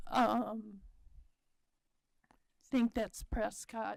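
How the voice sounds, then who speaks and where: A woman speaks at a fairly high pitch. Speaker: college board trustee. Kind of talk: board meeting report.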